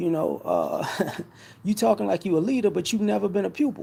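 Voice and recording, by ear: The voice has a dark, mellow tone with vocal fry and a slightly husky edge. It moves at a fairly quick pace with very wide pitch swings. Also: man, high pitch for a man.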